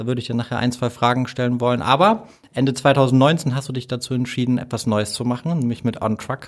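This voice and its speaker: The pace here is moderate and the pitch medium. A man talks in a normal speaking voice. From Hamburg, Germany. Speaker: podcast host. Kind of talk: interview.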